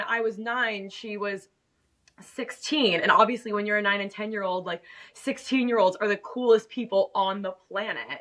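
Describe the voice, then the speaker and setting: In an American accent, a woman with an unremarkable speaking voice talks at a moderate pace in a fairly high pitch, with fairly even intonation and big swings in loudness. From Miami, Florida. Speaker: fashion YouTuber. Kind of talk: podcast interview. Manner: casual, filler-heavy.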